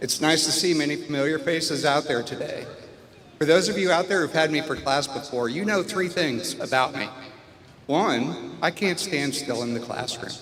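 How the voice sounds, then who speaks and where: Amid noticeable background noise and audible room echo, a man talks at a moderate pace and a fairly high pitch with lively intonation. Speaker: biology professor. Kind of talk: commencement speech. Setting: commencement ceremony stage with audience. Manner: loud.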